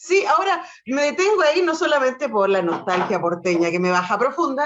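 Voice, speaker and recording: Over noticeable background noise, a woman speaks with a Chilean accent at a fairly quick pace. Her high pitch swings very widely while her loudness stays very even. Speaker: radio host. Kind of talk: interview.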